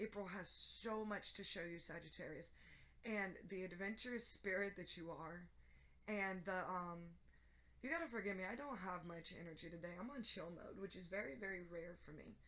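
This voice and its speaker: A woman's medium-pitched voice, bright and sharp in tone, at a moderate pace, with audible room echo. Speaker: tarot reader. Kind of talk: tarot reading. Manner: monotone.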